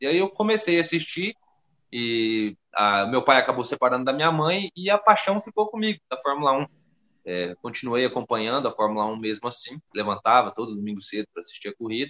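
Talking at a fairly quick pace, a man of medium pitch lets his voice swing very widely. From Rondônia, northern Brazil. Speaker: content creator, F1 YouTube channel owner. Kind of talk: casual podcast interview chat.

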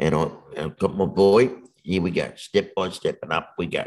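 A man talks with an Australian accent. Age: 50s. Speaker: motivational speaker. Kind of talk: casual interview.

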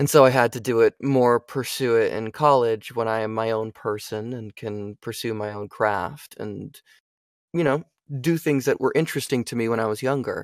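In an unremarkable speaking voice, a man speaks at medium pitch and moderate pace with fairly even intonation, in a dry, close sound with no echo on a very clean recording with a silent background. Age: 20s. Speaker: voice actor. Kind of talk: casual interview chat.

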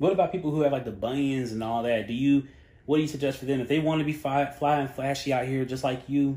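A man with an American accent talks at a fairly quick pace in a dark, mellow tone. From Charlotte, North Carolina. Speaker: podcast producer and host. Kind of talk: casual interview chat. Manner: lighthearted, upbeat.

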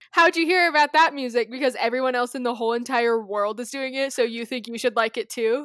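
With an American accent, a woman with a high pitch talks at a very fast pace with hardly any pauses and ordinary pitch variation. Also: very clean recording, silent background. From Colorado, US. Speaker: podcast co-host. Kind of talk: casual chat.

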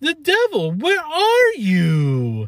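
A put-on character voice at a high pitch. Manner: excited.

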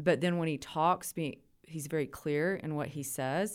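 A woman in a West Texas accent, fairly low in pitch, on a very clean recording with a silent background. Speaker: university administrator. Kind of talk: interview.

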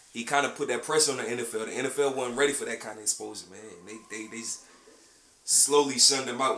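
A man with an American accent and medium pitch talks at a fairly quick pace with fairly even intonation and big swings in loudness, against noticeable background noise. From South Carolina. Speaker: podcast co-host. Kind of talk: casual chat.

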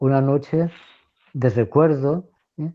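A man speaks at medium pitch with ordinary pitch variation. His pace is very slow. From Spain, Valencia. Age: 60s. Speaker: priest. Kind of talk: radio talk show discussion.

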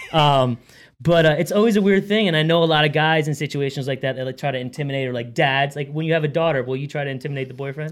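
Very fast male speech, fairly high in pitch, with ordinary pitch variation. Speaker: podcast host. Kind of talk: casual chat. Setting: studio.

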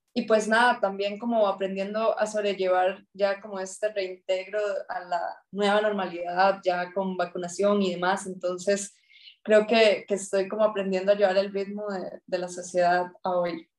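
This woman's pitch is mid-range and her delivery fairly slow. She speaks in a monotone, flat way. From Costa Rica, rural Esparza (Puntarenas). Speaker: natural resource manager and climate consultant. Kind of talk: interview conversation. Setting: podcast recording.

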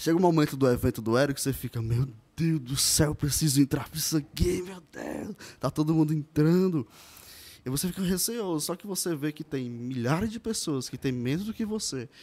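A man's voice of fairly high pitch, dark and mellow in tone, with lively intonation at a moderate pace. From Ceará, Brazil (Pacajus). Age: 20s. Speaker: digital marketing specialist. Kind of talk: podcast interview.

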